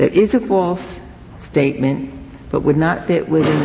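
Speech at a fairly slow pace plays over noticeable background noise. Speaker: supreme court justice. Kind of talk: judicial questioning. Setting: courtroom.

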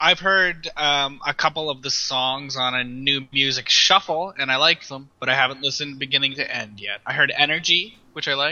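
Ordinary pitch variation runs through a man's fairly high voice at a moderate pace. It is a normal speaking voice. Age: 30s. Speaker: music blogger. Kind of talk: casual chat.

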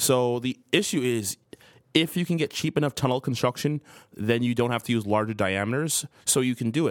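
A man with an American accent talks at a fairly quick pace in a normal speaking voice. His pitch is medium with ordinary variation, and the sound is dry and close with no echo. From New Jersey. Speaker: industrial lighting expert. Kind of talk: casual chat. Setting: studio.

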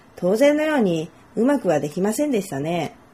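Her pitch swings very widely as the woman talks at a moderate tempo. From Japan, Nagoya. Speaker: Japanese language tutor. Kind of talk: self-introduction monologue for learners.

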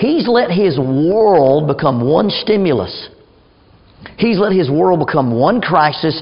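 Speaking at a fairly slow pace, a man uses lively intonation. Audible room echo surrounds his voice. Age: 50s. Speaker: church speaker and crisis intervention trainer. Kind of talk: church class talk.

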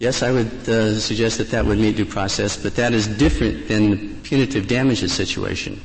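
A man speaks at a fairly quick pace with hardly any pauses, his pitch fairly low and his voice carrying vocal fry. His pitch varies in an ordinary way. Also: very even loudness. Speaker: lawyer arguing before the court. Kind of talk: oral argument. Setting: courtroom. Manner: halting, repeats words.

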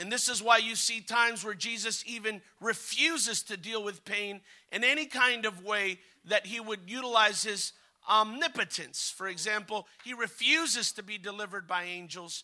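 A man's raised, projected voice, high in pitch, with an animated, bright, sharp tone and big swings in loudness. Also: ordinary pitch variation, moderate pace. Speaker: visiting preacher. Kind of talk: revival sermon, preacher in full flow. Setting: church with congregation. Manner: animated, fervent, urging the congregation to respond; exhorting, rhythmic, call-and-response.

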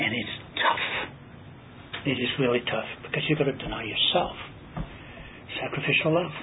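Fairly high male voice with ordinary pitch variation, audible room echo and noticeable background noise. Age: 60s. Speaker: Bible study teacher. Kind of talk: Bible study teaching.

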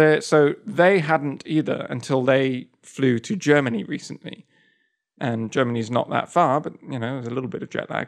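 With a British accent, a man talks at a moderate pace in a fairly high pitch, his pitch varying in an ordinary way. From Stratford, England. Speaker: podcast co-host, game developer. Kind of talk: casual chat podcast.

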